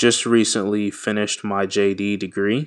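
The recording is very clean, with a silent background. A man with an American accent speaks at a fairly low pitch in a monotone, flat intonation. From US (Washington, D.C.), Nigerian American. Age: 20s. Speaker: podcast host, law graduate. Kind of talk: solo podcast introduction. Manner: casual, many fillers.

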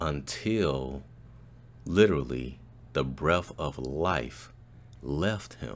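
A man with an American accent at a very slow pace, with ordinary pitch variation. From Chicago. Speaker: podcast host and voiceover artist. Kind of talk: commentary monologue.

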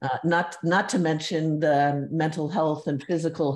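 Fairly even intonation marks this voice, which keeps a moderate pace. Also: woman. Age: 60s. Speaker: former advertising art director, walking advocate. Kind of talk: interview.

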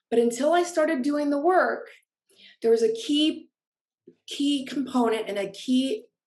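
A woman speaks in an unremarkable speaking voice at a fairly slow pace. Her pitch has ordinary variation. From Orange County, California. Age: 40s. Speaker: author and life coach. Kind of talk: personal testimony.

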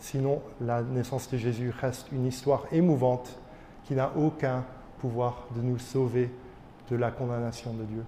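With long, frequent pauses and a fairly slow pace, a man speaks in a monotone, flat delivery at medium pitch, with audible room echo. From Belgium, Charleroi area, Wallonia. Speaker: pastor. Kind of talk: sermon. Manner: halting.

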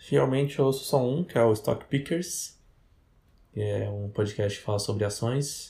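Very cleanly recorded against a silent background, a man speaks at a medium pitch with lively intonation. His tone is dark and mellow, and somewhat breathy. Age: 20s. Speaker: podcast co-host. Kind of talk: casual chat.

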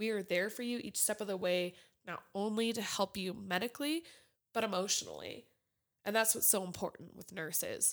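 In a very clean recording with a silent background, a woman talks at a fairly quick pace with medium pitch, ordinary pitch variation and a plain, everyday voice. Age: 20s. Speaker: nursing student. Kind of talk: casual chat.

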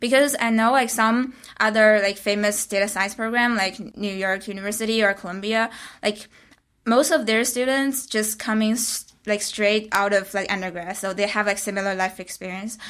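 In a Chinese accent, a woman speaks at a moderate pace with fairly even intonation and a fairly high pitch, on a very clean recording with a silent background. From China. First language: Mandarin Chinese. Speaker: graduate student. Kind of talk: casual interview.

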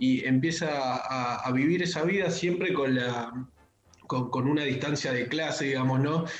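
Over noticeable background noise and audible room echo, a man with a fairly high pitch speaks at a fairly slow pace with ordinary pitch variation. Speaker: pop culture columnist. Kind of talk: casual radio chat.

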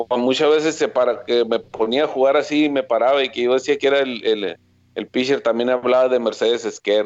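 An unremarkable speaking voice moves at a fairly quick pace, its pitch varying in an ordinary way and its loudness very even. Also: man, medium pitch for a man. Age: 40s. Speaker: former baseball pitcher, now coach. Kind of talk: interview.

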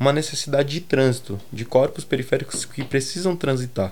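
A man talking at a very fast pace. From Brazil, Grajaú, São Paulo south zone. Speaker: fashion and aesthetics researcher. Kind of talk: interview.

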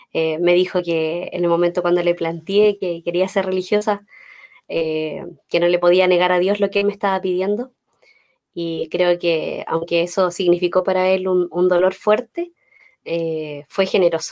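A woman speaks in a flat monotone at medium pitch and a moderate pace. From Chile, Los Ángeles. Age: 30s. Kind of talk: faith talk interview.

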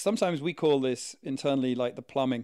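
A man talks at a very fast pace. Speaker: podcast co-host. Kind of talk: casual chat.

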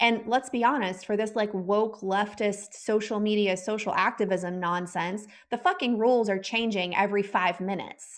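With an American accent and an unremarkable speaking voice, a woman of medium pitch talks at a moderate pace against a quiet background. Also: fairly even intonation, hardly any pauses. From Texas. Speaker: podcast host and former health coach. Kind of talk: interview conversation.

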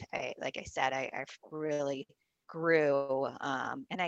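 Very slow speech in an American accent, with fairly even intonation. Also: woman. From US Pacific Northwest, small town in Washington State. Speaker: marketing agency founder. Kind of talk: interview.

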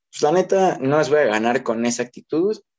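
A man speaks in a dark, mellow tone. His pace is moderate, with ordinary pitch variation. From Mexico. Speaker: teacher, podcast co-host. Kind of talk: casual chat.

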